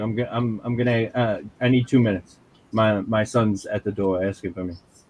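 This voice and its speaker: Fairly quick speech from a man with a New York accent. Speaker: comic book creator. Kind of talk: casual chat. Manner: halting, repeats words.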